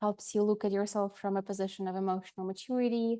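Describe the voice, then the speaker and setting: A woman's medium-pitched, dark, mellow voice with a Russian accent and monotone, flat intonation. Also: quiet background. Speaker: lawyer and education consultant. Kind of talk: interview. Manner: halting, many fillers.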